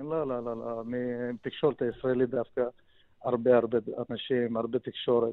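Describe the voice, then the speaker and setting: A man at medium pitch speaks at a moderate pace in a flat monotone, with long, frequent pauses. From Soviet Union. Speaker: deal broker. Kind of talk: radio interview.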